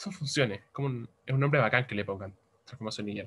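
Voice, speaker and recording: A man with a Chilean accent talks at a fairly quick pace. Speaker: teaching assistant. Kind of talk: tutorial. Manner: fast; mumbling.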